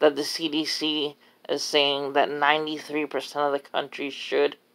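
Over a quiet background, a woman speaks with a very deep, low pitch and a bright, sharp tone. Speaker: vlogger. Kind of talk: casual vlog chat. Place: home room. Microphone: phone near.

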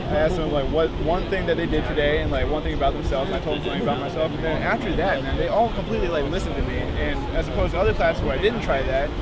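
The speaker rushes at a very fast pace with hardly any pauses, the sound dry with no echo and loud background noise behind it. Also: man. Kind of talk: casual conversation, personal story. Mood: earnest, persuasive. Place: street. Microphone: camera far.

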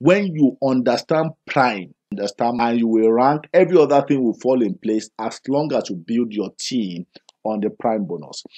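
Speaking with a Nigerian accent, a man uses a medium pitch and lively intonation at a moderate pace. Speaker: business presenter. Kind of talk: sales pitch. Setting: video. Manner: persuasive.

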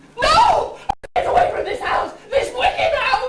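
With a slight echo, a woman speaks at a fairly slow pace in an extremely high pitch. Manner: hysterical, melodramatic.

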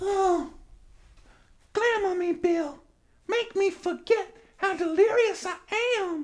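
A man's put-on character voice, extremely high-pitched, at a very slow pace with long, frequent pauses. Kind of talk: comic overacting. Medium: comedy sketch. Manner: breathy, swooning.

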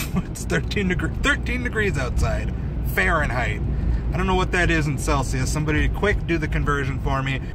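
A man's voice comes through a dry sound with no echo over loud background noise. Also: fairly quick pace. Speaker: vlogger. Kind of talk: casual vlog chat. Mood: wry, mildly exasperated. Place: car. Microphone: phone near.

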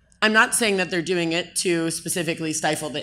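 The speaker has an unremarkable speaking voice with ordinary pitch variation. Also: woman. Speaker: blockchain advocacy group co-founder. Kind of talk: conference panel talk. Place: stage. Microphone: handheld.

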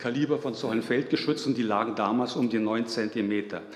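Audible room echo surrounds a man's voice. He talks at a fairly quick pace with ordinary pitch variation. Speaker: conference lecturer. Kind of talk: lecture. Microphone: podium.

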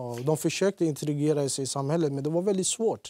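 Talking very fast, a man with a fairly high pitch and a dark, mellow tone shows ordinary pitch variation in a dry recording with no echo. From Iraqi Kurdistan, moved to Sweden at age 10. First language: Kurdish (speaking Swedish). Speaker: former offender, youth lecturer; interview guest. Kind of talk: TV interview; interview answer. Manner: hesitant with fillers. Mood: serious, reflective. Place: studio. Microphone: lapel.

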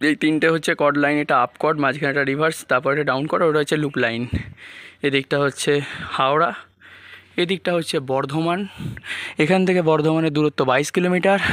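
A man's normal speaking voice, fairly high in pitch, with very even loudness and fairly even intonation. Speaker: travel vlogger. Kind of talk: walking vlog narration. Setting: outdoors at a railway station.

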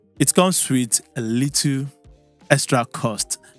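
Faint music plays behind a man whose voice has a dry sound with no echo. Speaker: tech reviewer. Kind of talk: product review vlog. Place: studio. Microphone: studio mic.

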